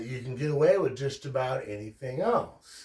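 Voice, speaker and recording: A man speaks at a medium pitch. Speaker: religion commentary youtuber. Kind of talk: casual lecture. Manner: slow, deliberate enunciation; frequent fillers (um, uh).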